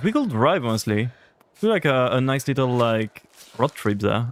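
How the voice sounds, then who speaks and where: Talking at a fairly quick pace in a French accent, a man sounds animated, his intonation lively. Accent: French accent on every language. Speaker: gaming streamer. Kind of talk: casual chat.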